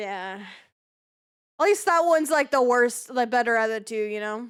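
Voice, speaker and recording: A loud voice at a moderate pace with lively intonation, on a very clean recording with a silent background. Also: woman, high pitch for a woman. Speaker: streamer interviewer. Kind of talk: casual chat.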